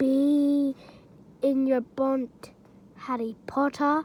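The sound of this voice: In a put-on character voice, the speaker talks quietly at a very slow pace with monotone, flat intonation. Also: woman, high pitch for a woman.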